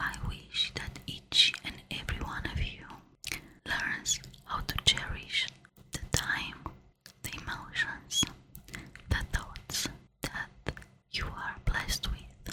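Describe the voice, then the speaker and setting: Whispering at a very slow pace with long, frequent pauses, the voice sits over noticeable background noise. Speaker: ASMR spiritual relaxation host. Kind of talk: ASMR guided relaxation talk. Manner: soft whispers; slow, calm, repetitive.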